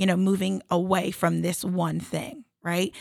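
A woman speaks with vocal fry at medium pitch and a moderate pace. The sound is dry and close with no echo. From South Jersey, US. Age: 30s. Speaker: Olympic athlete and entrepreneur. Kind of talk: interview.

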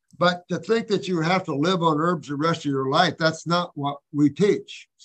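His pitch is high for a man. The man keeps a moderate pace. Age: 70s. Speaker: natural health practitioner and teacher. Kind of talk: live Q&A, casual. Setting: video call. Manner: animated.

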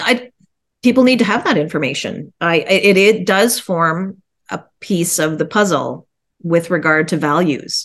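A woman with a Canadian accent has a plain, everyday voice at a fairly low pitch. She talks at a fairly slow pace with lively intonation. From Ontario, Canada (Guelph). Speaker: realtor. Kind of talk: interview. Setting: video call.

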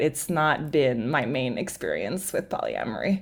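A woman speaks in a Quebec accent. The recording is very clean, with a silent background. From Montreal, Quebec. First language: French. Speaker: writer and performer. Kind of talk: casual interview chat.

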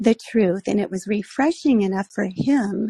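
In a dry, close recording with no echo, a woman with a fairly high pitch and a dark, mellow, somewhat breathy tone speaks at a fairly slow pace. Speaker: caller. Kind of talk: call-in story. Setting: phone call via app.

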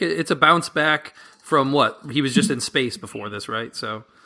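A man with an American accent, bright and sharp in tone, at a moderate pace. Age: 30s. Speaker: film podcaster. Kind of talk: casual chat.

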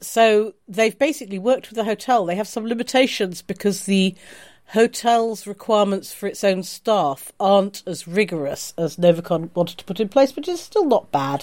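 A woman with a normal speaking voice talks at a moderate pace and medium pitch, her intonation lively. The recording is very clean, with a silent background. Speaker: podcast host. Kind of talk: casual chat.

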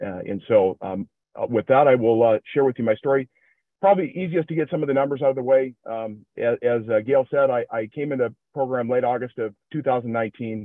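With a Midwestern accent, a man talks at a moderate pace, his medium pitch showing ordinary variation. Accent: generic Midwestern. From Minnesota, US Midwest. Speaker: recovery group member sharing his story. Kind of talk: personal testimony.

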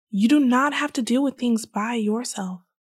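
A woman's warm, somewhat breathy voice in a dry, close sound with no echo, in a very clean recording over a silent background. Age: 20s. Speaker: solo podcast host. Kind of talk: emphatic motivational pep talk addressed directly to listeners; reflective personal monologue on family trauma. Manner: impassioned, insistent repetition building to a rousing vow; warm, earnest, intimate direct address.

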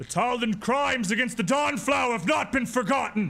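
In a put-on character voice, a man speaks at a fairly quick pace with an extremely high pitch. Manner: accusatory, ominous.

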